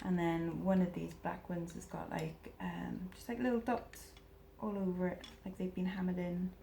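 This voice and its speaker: A woman with a Welsh accent at a moderate pace. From Wales. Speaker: eBay reseller. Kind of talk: casual talk to camera.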